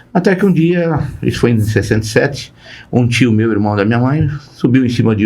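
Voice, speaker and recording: Audible room echo surrounds a man whose voice shows vocal fry and very wide pitch swings. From Brazil, interior of Paraná, then São Paulo. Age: 70s. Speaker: company founder and board advisor. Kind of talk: podcast interview. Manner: halting, with repetitions.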